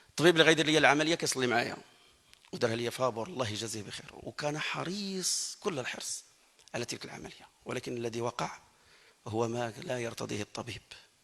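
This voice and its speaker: Against noticeable background noise, a man speaks at medium pitch with lively intonation and big swings in loudness. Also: fairly quick pace. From Morocco. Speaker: Quran reciter. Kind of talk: testimony. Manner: halting.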